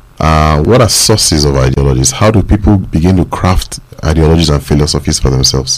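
Amid noticeable background noise, a man with a very deep, low voice speaks at a fairly quick pace, with ordinary pitch variation and very even loudness. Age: young. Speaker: radio panelist. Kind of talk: radio discussion. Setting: studio.

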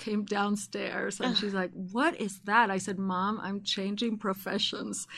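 A woman speaks at medium pitch with fairly even intonation. Her pace is very slow, yet she hardly pauses. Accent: Argentine. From Argentina. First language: Spanish. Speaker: host's mother. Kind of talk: casual chat.

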